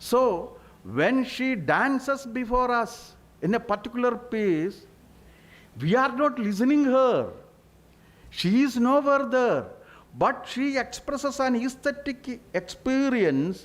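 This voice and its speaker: A man with an extremely high pitch speaks in a Keralan accent at a very slow pace, with long, frequent pauses and ordinary pitch variation. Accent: Indian English, Malayali. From Kerala, India. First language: Malayalam. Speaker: panelist, literary scholar. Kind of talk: panel discussion.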